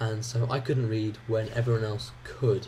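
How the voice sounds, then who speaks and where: Audible room echo surrounds a man speaking fairly slowly at a medium pitch. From England (childhood partly in Ireland). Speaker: gaming YouTuber. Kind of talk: gameplay commentary. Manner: hesitant, many fillers.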